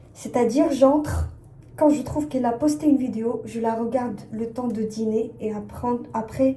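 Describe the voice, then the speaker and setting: Over noticeable background noise, a woman speaks at a moderate pace with a fairly high pitch and ordinary pitch variation. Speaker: fashion brand designer, vlogger. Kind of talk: casual vlog chat. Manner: hesitant, many fillers.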